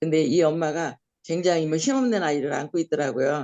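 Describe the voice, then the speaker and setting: Her very deep, low-pitched voice moves at a fairly quick pace with ordinary pitch variation as the woman speaks. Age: 70s. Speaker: missionary. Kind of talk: testimony. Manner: halting.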